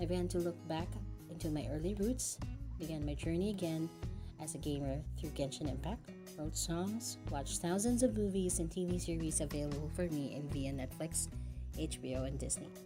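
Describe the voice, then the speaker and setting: A woman talks fairly quickly as music plays in the background. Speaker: voice actor. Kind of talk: personal narrated life story for an audio-visual presentation. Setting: home recording. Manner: earnest, heartfelt.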